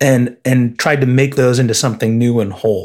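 A man with an American accent talks at a moderate pace in a normal speaking voice. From Illinois. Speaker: advertising creative director. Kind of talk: interview conversation.

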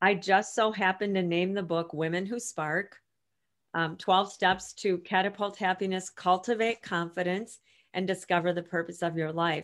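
In a very clean recording with a silent background, a woman speaks in a normal speaking voice with fairly even intonation at a moderate pace. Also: medium pitch for a woman. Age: 50s. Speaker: author and women's coach. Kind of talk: interview.

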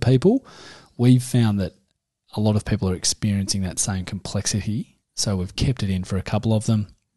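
A man with an Australian accent, a fairly low pitch, a dark, mellow tone, ordinary pitch variation and a fairly quick pace, against a quiet background. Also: dry, close sound with no echo. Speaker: podcast co-host, parent. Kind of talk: casual chat. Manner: jokey, laughs often.

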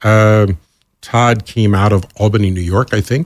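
A man with a fairly low pitch and ordinary pitch variation uses an ordinary speaking voice, recorded dry and close with no echo, very clean, with a silent background. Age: 60s. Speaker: radio programming executive. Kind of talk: interview.

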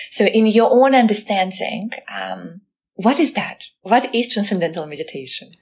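A woman with a medium pitch and vocal fry talks at a moderate pace with lively intonation. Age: younger than 72. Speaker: podcast host. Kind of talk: interview.

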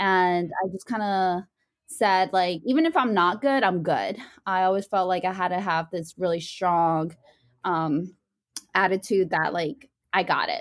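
A woman speaks in a plain, everyday voice at medium pitch and a fairly slow pace. The recording is very clean, with a silent background. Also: ordinary pitch variation. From Virginia, US. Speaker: student and nonprofit founder. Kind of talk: interview conversation.

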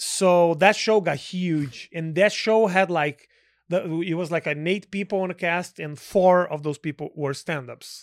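A man with a Portuguese accent, high pitch, fairly slow pace and fairly even intonation on a very clean recording with a silent background. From Brazil. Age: 40s. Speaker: comedian. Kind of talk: casual chat.

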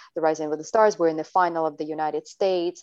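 Against a quiet background, the voice stays monotone with flat intonation. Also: woman. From Latvia, Siberia and the US. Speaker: dancer and choreographer. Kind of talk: casual chat.

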